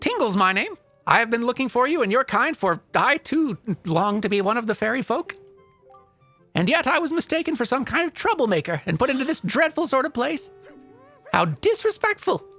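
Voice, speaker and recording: Over faint music in the background, a put-on character voice moves at a fairly quick pace with fairly high pitch and very wide pitch swings. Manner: eccentric, flowery, whiny.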